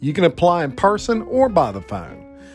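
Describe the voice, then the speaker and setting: With music in the background, a man keeps a moderate pace while his pitch swings very widely. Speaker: podcast host. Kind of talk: radio-style sponsor ad read.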